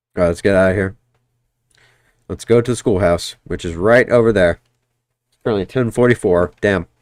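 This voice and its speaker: Big swings in loudness, long and frequent pauses, and a dry, close sound with no echo. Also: man, fairly low pitch for a man, fairly quick pace. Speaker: game streamer. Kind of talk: live gameplay commentary. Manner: casual, rambling with fillers.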